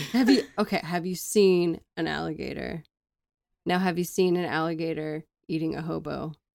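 Her pace moderate and her intonation fairly even, a woman speaks in a plain, everyday voice at a fairly low pitch. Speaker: podcast co-host. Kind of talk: casual banter podcast chat.

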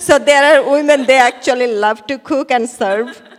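A woman speaks at a high pitch with ordinary pitch variation. Noticeable background noise runs behind her. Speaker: congregation member, researcher.

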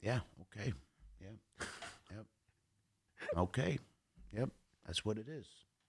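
The speech moves at a fairly slow pace with long, frequent pauses, a somewhat breathy quality and ordinary pitch variation. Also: man. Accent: American. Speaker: actor. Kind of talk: casual interview chat.

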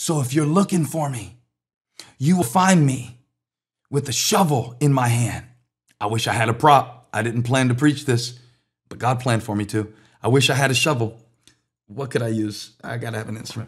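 A man talks at a moderate pace in a medium pitch, his tone animated and somewhat breathy, with ordinary pitch variation. He leaves long, frequent pauses, and the recording is very clean with a silent background. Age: 50s. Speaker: pastor. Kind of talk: sermon.

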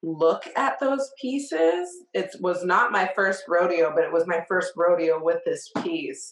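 A woman with an unremarkable speaking voice speaks fairly slowly at a medium pitch. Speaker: podcast host. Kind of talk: casual interview chat.

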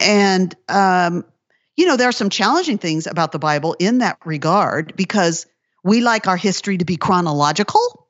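A woman talks in a plain, everyday voice at medium pitch. Her pace is moderate and her pitch variation ordinary. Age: 50s. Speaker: author and Bible teacher. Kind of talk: casual interview.

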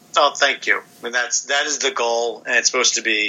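Moderate-paced male speech at a medium pitch amid noticeable background noise. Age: 40s. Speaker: comic book writer and artist. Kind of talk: interview.

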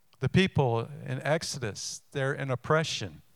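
A man's fairly high, plain, everyday voice at a fairly slow pace with ordinary pitch variation, on a very clean recording with a silent background. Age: 60s. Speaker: pastor. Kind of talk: sermon. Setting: church.

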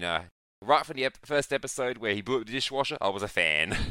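Lively in intonation and bright, sharp in tone, a man with a medium pitch speaks at a very fast pace. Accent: Australian. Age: 20s. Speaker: podcast guest. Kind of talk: casual chat.

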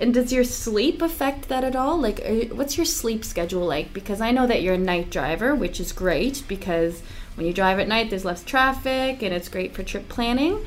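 With noticeable background noise behind her, a woman talks at a moderate pace in a fairly high pitch, her pitch swinging very widely and hardly any pauses breaking her speech. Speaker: interviewer at trucking company. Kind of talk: interview, casual conversation.

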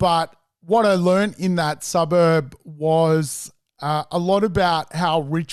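Against a quiet background, a man talks very slowly with an Australian accent. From Sydney, Australia. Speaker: property investor and mentor. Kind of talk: interview storytelling.

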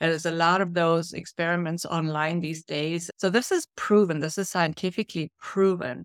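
In a German accent, a woman speaks at a moderate pace with a fairly low pitch and fairly even intonation, the sound dry and close with no echo. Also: hardly any pauses, very clean recording, silent background. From Germany. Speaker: leadership coach and author. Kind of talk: interview conversation.

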